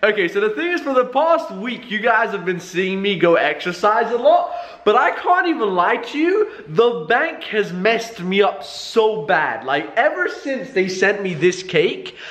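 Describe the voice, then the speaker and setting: With audible room echo, a man talks at a fairly slow pace. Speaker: vlogger. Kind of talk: casual vlog chat. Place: home room. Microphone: phone near.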